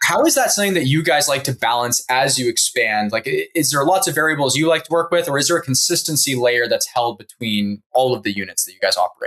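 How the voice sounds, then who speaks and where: A man at a very fast pace with hardly any pauses, his fairly high voice full of lively intonation. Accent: slight Canadian. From Canada. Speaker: interviewer. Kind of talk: interview conversation.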